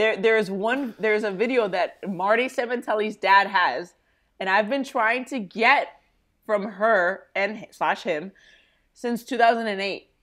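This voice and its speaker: A woman with a fairly high pitch speaks at a fairly slow pace in an animated tone with ordinary pitch variation, on a very clean recording with a silent background. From US, Cuban-American family. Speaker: baseball coach and former national team player. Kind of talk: podcast interview.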